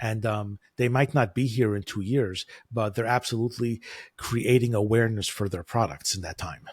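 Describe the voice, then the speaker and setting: A man with an American accent, medium pitch and a somewhat breathy quality speaks at a moderate pace with ordinary pitch variation, in a very clean recording with a silent background. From United States. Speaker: e-commerce advertising consultant. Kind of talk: interview.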